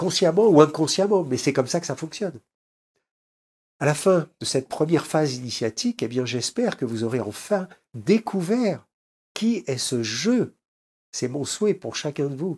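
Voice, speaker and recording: A man speaks at a fairly high pitch with very wide pitch swings and long, frequent pauses. The recording is very clean, with a silent background. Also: moderate pace. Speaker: spiritual teacher. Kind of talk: lecture. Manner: halting.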